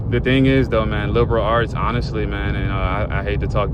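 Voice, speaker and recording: A man with an American accent at a very fast pace, amid noticeable background noise and audible room echo. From Virginia, Newport News (US East Coast). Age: 20s. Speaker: vlogger. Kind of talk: casual monologue vent session. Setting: in a car, driving at night. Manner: casual, filler-heavy.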